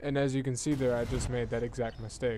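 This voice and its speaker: A man at medium pitch and a fairly quick pace, with audible room echo. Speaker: gaming video reviewer. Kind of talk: gameplay commentary tutorial. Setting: home recording at night. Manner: quiet, hushed.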